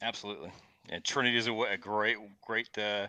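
The man's bright, sharp tone comes through with a dry, close sound and no echo. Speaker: chiropractor. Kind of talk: interview conversation. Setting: video call.

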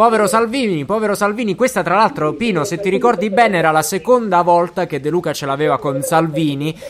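Very fast and with hardly any pauses, a man speaks at a high pitch. His intonation is lively. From Basilicata, southern Italy. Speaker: podcast host. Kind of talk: casual chat. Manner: animated.

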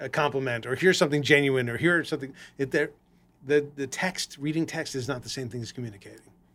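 A man with an American accent talks at a very fast pace, his pitch fairly high and his loudness swinging widely. The recording is very clean, with a silent background. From Los Angeles. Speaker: podcast host. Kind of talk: casual chat. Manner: hesitant, many fillers.

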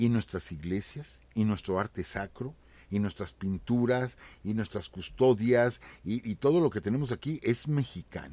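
A man's dark, mellow voice with lively intonation at a fairly slow pace. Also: medium pitch for a man. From Mexico. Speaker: history teacher, co-host. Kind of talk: history talk on live internet radio. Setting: live internet radio studio.

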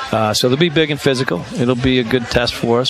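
A man talks at a medium pitch with an American accent. Noticeable background noise runs underneath. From Chicago, US Midwest. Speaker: college hockey coach. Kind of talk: radio interview. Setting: live broadcast at a restaurant.

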